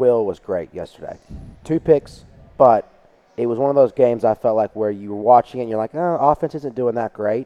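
An ordinary speaking voice at a fairly quick pace. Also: man, medium pitch for a man, ordinary pitch variation. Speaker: podcast co-host, former kicker. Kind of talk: casual sports chat.

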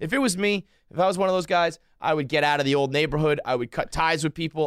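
A man with a Northeastern US accent speaks in an animated tone at a very fast pace with hardly any pauses, his fairly high voice holding very even loudness with ordinary pitch variation, in a dry, close sound with no echo. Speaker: blogger and podcaster. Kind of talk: casual interview chat. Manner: animated, casual, profane.

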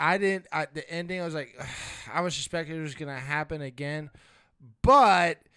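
Here a man talks fairly quickly at a fairly high pitch with ordinary pitch variation, an unremarkable speaking voice. The recording is very clean, its background silent. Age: 30s. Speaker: wrestling podcast co-host. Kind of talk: casual chat.

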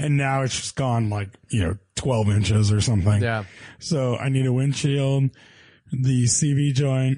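A man speaks with a dark, mellow tone at a medium pitch. He goes at a fairly slow pace with ordinary pitch variation. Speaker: car podcast co-host. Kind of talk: casual chat.

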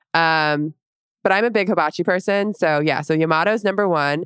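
At a moderate pace, a woman with a fairly low pitch and ordinary pitch variation is recorded in a dry, close sound with no echo. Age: 30s. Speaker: former volleyball player, podcast co-host. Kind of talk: casual chat.

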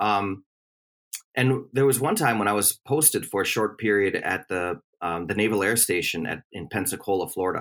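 Recorded very cleanly against a silent background, a man with an American accent uses a normal speaking voice at a fairly low pitch, with ordinary pitch variation and a moderate pace. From US Midwest, Milwaukee, Wisconsin. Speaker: history professor. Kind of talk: interview.

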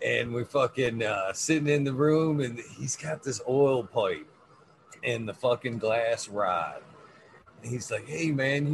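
Fairly slow speech by a man, noticeable background noise behind it. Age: 40s. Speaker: cannabis podcast host. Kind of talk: casual chat. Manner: animated.

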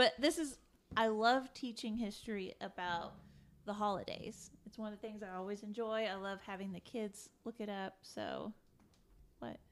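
A woman with a normal speaking voice and a fairly high pitch talks at a moderate pace, with ordinary pitch variation but big swings in loudness. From Indiana. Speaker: podcast co-host. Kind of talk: casual chat.

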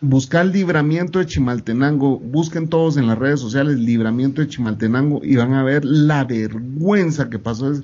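Speaking at a moderate pace with hardly any pauses, a man with an unremarkable speaking voice has a fairly high pitch and ordinary pitch variation. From Guatemala. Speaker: podcast guest. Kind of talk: casual chat.

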